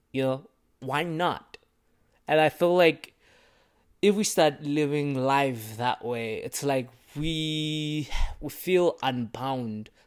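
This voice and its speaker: Animated in tone, a man talks with a non-native accent and a fairly high pitch. The recording is very clean with a silent background. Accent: has an accent, self-conscious about it. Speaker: vlogger. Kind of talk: casual monologue to camera. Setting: small room, recording to camera.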